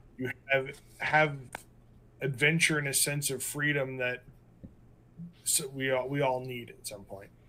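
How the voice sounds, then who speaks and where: Speaking slowly with monotone, flat intonation, a man with an American accent has a bright, sharp tone at a fairly slow pace. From eastern Pennsylvania. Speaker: podcast co-host. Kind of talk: casual chat.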